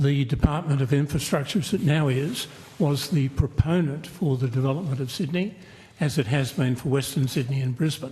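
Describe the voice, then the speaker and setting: This man has an Australian accent and a fairly high voice with ordinary pitch variation. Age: 80s+. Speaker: aviation community advocate. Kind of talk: parliamentary hearing testimony. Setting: committee hearing.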